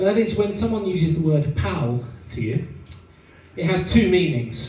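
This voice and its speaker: A man speaks in a southern English accent with very wide pitch swings, and the recording has audible room echo and noticeable background noise. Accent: southern English, noticeable in Yorkshire. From southeast England, Kent. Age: 30s. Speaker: stand-up comedian. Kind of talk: stand-up. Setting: stage with audience. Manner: halting, many fillers.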